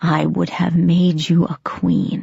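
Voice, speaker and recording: A put-on character voice speaks at a middle pitch with a raspy sound. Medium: read story. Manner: commanding.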